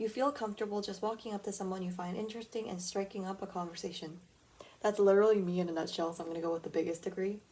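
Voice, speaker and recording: The quiet voice runs at a very fast pace with fairly even intonation. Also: woman, medium pitch for a woman. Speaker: podcast host. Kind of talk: casual solo podcast, taking a quiz aloud. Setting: at home, early morning. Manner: quiet tone.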